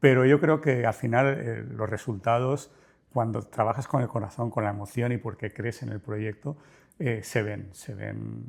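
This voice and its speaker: This man talks at a fairly slow pace in a medium pitch, with vocal fry and ordinary pitch variation. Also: very clean recording, silent background. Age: 60s. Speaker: business owner. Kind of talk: interview.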